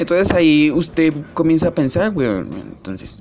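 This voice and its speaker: The speech comes at a fairly slow pace. There is noticeable background noise. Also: man. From Colombia, Bogotá. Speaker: podcaster. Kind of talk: casual monologue. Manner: halting, many fillers.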